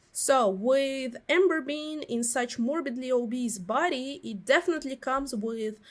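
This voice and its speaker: With a Russian accent, a woman talks fairly slowly in a high voice. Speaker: commentary YouTuber. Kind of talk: video essay commentary. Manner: hesitant, many fillers.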